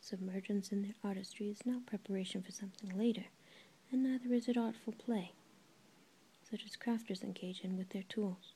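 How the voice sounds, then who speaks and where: A soft-spoken, somewhat breathy woman whispering at a fairly quick pace. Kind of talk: soft-spoken audiobook-style reading of a book. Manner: very soft-spoken, near-whisper.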